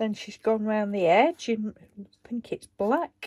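A woman's voice with a slightly mellow tone moves at a slow pace with ordinary pitch variation. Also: medium pitch for a woman.

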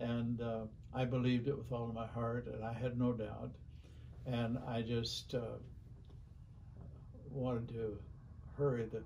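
Somewhat breathy and dark, mellow in tone, a man speaks fairly slowly in a monotone, flat way, with long, frequent pauses and light background noise. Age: 80s+. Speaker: minister. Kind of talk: interview answer. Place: office.

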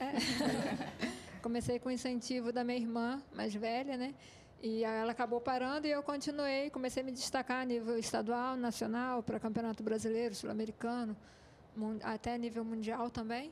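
Delivered at a moderate pace, the voice holds a monotone, flat intonation and very even loudness against light background noise. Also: woman, high pitch for a woman. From Petrópolis, Rio de Janeiro state; Rio de Janeiro state, Brazil. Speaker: runner; TV guest. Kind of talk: TV interview. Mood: calm, pleased. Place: studio. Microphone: handheld.

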